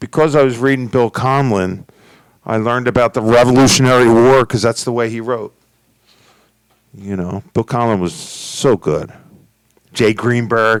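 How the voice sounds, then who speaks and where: A man speaks with a Philadelphia accent and fairly even intonation. His speech has long, frequent pauses. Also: medium pitch for a man, moderate pace, dry, close sound with no echo. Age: 60s. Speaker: podcast host. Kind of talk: casual chat.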